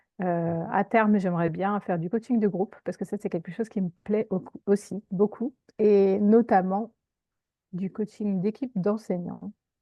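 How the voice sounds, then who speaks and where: A woman at a fairly slow pace, her intonation fairly even. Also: medium pitch for a woman. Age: 50s. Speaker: career coach, former teacher. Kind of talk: interview. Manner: hesitant, many fillers.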